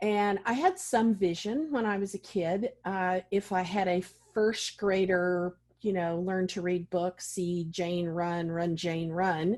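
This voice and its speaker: At a very slow pace, a woman speaks at a medium pitch. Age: 60s. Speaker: vision loss specialist and advocate. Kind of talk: interview.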